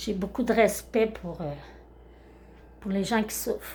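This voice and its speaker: A woman's voice carries vocal fry and fairly even intonation. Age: 60s. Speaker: karaoke YouTuber. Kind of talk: casual vlog monologue. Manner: spontaneous, unscripted, hesitant.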